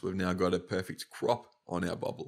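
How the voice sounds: A man talks in a low pitch with vocal fry.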